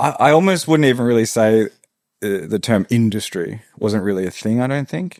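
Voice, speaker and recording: This man has an Australian accent. He talks fairly quickly. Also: medium pitch for a man, lively intonation. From Australia, rural Victoria. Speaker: tattoo artist and studio owner. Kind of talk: casual interview chat.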